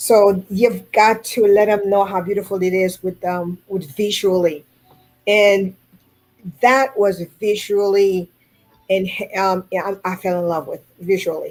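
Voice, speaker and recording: A woman with a Haitian accent speaks at a medium pitch. Her pace is fairly slow and her intonation fairly even. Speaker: food carving artist. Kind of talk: radio interview.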